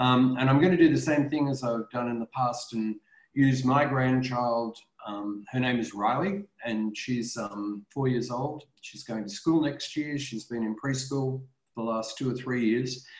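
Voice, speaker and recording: Against a quiet background with audible room echo, a man speaks at a fairly slow pace with ordinary pitch variation. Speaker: professor presenting a webinar. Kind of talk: webinar talk to parents. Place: home room. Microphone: webcam.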